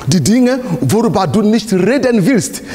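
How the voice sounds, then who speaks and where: Speaking at a fairly slow pace, a man moves through very wide pitch swings. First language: not German (speaking German). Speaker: pastor. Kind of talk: sermon. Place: church.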